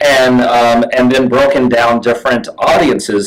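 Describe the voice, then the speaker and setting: There is noticeable background noise as a man speaks at a moderate pace and medium pitch. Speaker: real estate marketing host. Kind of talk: webinar discussion. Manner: halting, many fillers and repeats.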